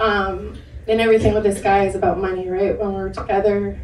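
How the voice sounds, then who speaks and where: A woman's voice with audible room echo. Noticeable background noise runs underneath. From Maine. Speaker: domestic abuse survivor on a panel. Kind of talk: personal testimony. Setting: panel discussion with audience at a film center.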